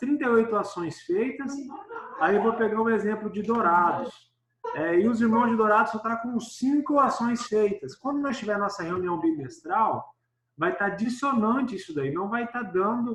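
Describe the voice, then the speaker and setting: A man speaks at a moderate pace in a high voice, with ordinary variation in pitch. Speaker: church department coordinator. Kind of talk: online meeting presentation.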